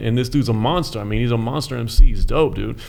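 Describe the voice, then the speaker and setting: A man with an American accent talking at a very fast pace, ordinary pitch variation, and noticeable background noise. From US. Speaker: rapper. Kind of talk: casual chat.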